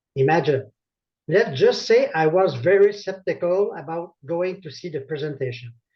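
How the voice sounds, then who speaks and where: In a French Canadian accent, a man speaks at a high pitch with big swings in loudness. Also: ordinary pitch variation, moderate pace. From Quebec, Laval. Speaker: network marketing consultant. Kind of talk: testimony.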